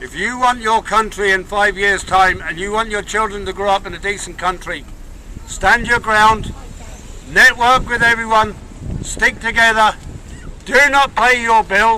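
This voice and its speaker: A man with an Irish accent, high-pitched and raised, projected in volume, at a moderate pace with fairly even intonation amid noticeable background noise. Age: 60s. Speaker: protest speaker. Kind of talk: rally speech. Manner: impassioned.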